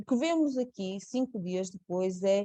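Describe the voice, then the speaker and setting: In a dark, mellow tone, a woman speaks at a very slow pace with a medium pitch. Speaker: nurse. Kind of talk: webinar presentation. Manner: halting, many fillers and repeats.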